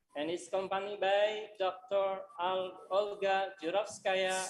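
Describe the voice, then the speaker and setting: Speaking at a fairly slow pace, a woman talks with an Indonesian accent. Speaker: university lecturer and moderator. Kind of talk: webinar moderation.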